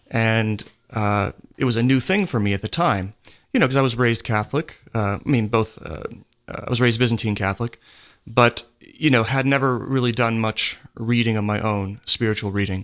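This is a man with an American accent and an ordinary speaking voice, medium in pitch with ordinary pitch variation. He talks at a moderate pace against a quiet background. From Pennsylvania. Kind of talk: radio interview.

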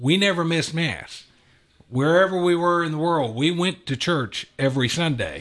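A man with an unremarkable speaking voice and an American accent talks at a fairly slow pace with ordinary pitch variation. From US South, Atlanta, Georgia. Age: 50s. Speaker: business executive. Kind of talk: radio interview. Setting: studio.

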